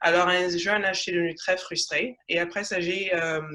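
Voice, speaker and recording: A woman speaks with a bright, sharp tone. Her pitch sits fairly low, and her intonation stays fairly even. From Congo (Kinshasa), then Canada from age 8. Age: 20s. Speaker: social entrepreneur in health tech. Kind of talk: panel interview on video call. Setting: video call. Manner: halting.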